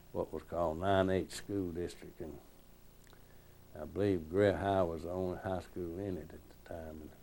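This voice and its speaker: With a South Carolina accent, the voice carries a dark, mellow tone at a moderate pace. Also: man. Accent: Southern US (Upstate South Carolina). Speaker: retired state senator. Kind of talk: oral history interview.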